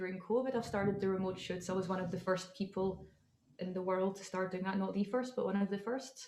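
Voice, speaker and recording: A woman with a Scottish accent speaks at a medium pitch. Her intonation is monotone and flat. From Scotland. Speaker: model and entrepreneur. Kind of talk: interview.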